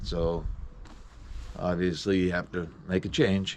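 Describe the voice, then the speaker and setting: A man with a very deep, low voice speaks at a very slow pace with ordinary pitch variation. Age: 70s. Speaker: commercial fisherman. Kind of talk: interview. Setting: on a fishing boat. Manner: hesitant, many fillers.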